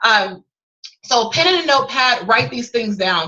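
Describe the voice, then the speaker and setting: A woman's bright, sharp voice sounds animated, with very wide pitch swings. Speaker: sales coach and author. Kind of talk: webinar teaching session. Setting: video call. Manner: fast.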